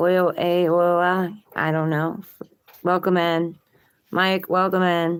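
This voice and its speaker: A woman speaks at a fairly low pitch and a very slow pace, with long, frequent pauses. Her intonation is monotone and flat, and her loudness stays very even. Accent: slight Baltimore. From Maryland, Baltimore. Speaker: tarot reader, live streamer. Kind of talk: casual live-stream chat.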